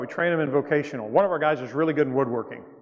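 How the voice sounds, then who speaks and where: A man with a Southern US accent speaks at a fairly high pitch, his pitch varying in an ordinary way. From US South. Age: 60s. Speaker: missionary speaker. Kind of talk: church mission presentation. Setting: church. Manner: casual, halting.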